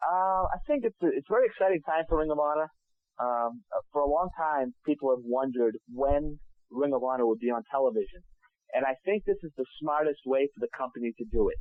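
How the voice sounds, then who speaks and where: An unremarkable speaking voice from a man with a fairly high pitch, lively intonation and a fairly quick pace. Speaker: wrestling ring announcer. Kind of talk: interview answer.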